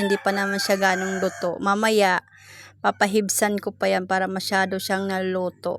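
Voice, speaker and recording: This woman has a medium pitch. Her intonation is monotone and flat. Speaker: cooking vlogger. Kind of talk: voice-over narration. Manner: chatty.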